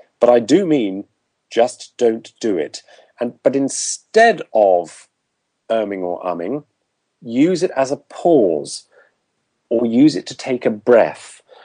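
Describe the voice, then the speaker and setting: Spoken at a very slow pace with long, frequent pauses, this dark, mellow voice carries a southern English accent, swings very widely in pitch, and sounds dry and close with no echo. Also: man, medium pitch for a man. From southern England. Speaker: public speaking and voice coach. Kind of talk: interview.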